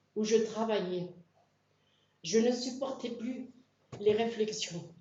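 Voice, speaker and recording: There is audible room echo as a woman speaks very slowly in a fairly high, somewhat breathy voice with ordinary pitch variation. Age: 60s. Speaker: church member being baptized. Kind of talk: testimony.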